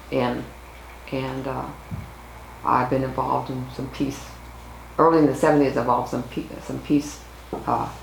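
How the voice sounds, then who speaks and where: Someone with an American accent speaks at a moderate pace with long, frequent pauses, audible room echo and noticeable background noise. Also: woman. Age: 70s. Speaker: activist. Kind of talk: oral history interview.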